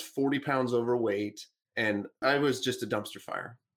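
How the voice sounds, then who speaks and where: A man speaks in a plain, everyday voice at medium pitch. His pace is moderate, his pitch variation ordinary, and the recording very clean with a silent background. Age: 30s. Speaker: business coach and author. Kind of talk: interview.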